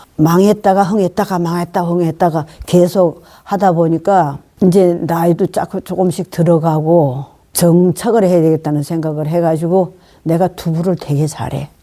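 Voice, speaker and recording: Speaking at a moderate pace, a woman has a fairly low pitch, a dark, mellow tone and fairly even intonation. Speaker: nursing home resident. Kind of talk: interview answer.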